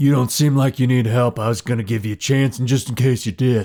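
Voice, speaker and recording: This is a put-on character voice. It moves at a very fast pace with fairly even intonation. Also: man, medium pitch for a man. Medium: actual play. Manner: blunt, forceful.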